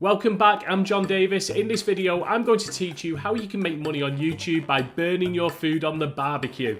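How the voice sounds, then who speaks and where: Talking at a fairly quick pace with hardly any pauses, a man with a British accent uses a high pitch and ordinary pitch variation over noticeable background noise. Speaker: YouTube tutorial creator. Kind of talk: tutorial.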